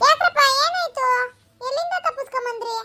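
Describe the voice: A woman's squeaky, cartoonish character voice, extremely high in pitch, with very wide pitch swings. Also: moderate pace.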